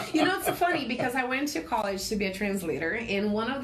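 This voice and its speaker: Amid noticeable background noise and audible room echo, a woman speaks at a fairly quick pace with lively intonation. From Brazil. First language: Portuguese. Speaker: insurance agent. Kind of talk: interview. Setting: radio studio. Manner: halting with repetitions.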